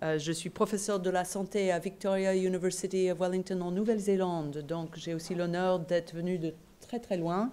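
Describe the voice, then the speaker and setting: A woman with a slight non-native accent speaks at a moderate pace and medium pitch, her tone dark and mellow and her intonation fairly even. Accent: slight foreign accent in French. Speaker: professor and nurse. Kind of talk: conference lecture. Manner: hesitant, many fillers.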